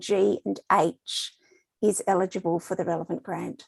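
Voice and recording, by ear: Vocal fry runs through a slightly mellow tone at a fairly slow pace with little pitch movement, the sound dry and close with no echo. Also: woman.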